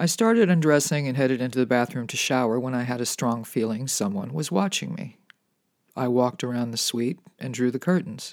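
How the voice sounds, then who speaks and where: Man with a plain, everyday voice, medium-pitched with ordinary pitch variation, at a fairly quick pace. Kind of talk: bedtime ghost story, reading aloud a first-person true tale. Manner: calm, intimate, building creepy tension.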